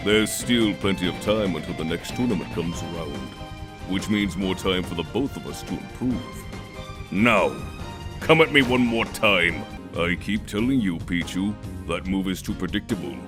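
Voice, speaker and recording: A man puts on a character voice with a very deep, low pitch. He keeps a moderate pace while loud music plays in the background. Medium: dub. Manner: serious, measured.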